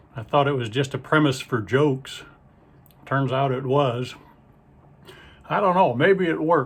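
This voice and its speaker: Here a man with a Midwestern American accent talks at a fairly slow pace and fairly high pitch. He leaves long, frequent pauses. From Ohio, US Midwest. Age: 60s. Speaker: stand-up comedian and magician. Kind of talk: stand-up. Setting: video call to muted audience.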